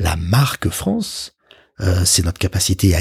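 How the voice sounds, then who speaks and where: A man speaks in a fairly low, somewhat breathy voice with ordinary pitch variation. The sound is dry and close, with no echo. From Paris. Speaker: communications executive. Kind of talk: interview.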